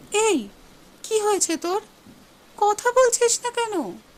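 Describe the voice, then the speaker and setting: Squeaky and extremely high-pitched, this woman's voice is a put-on character act. Her pace stays moderate. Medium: audio drama.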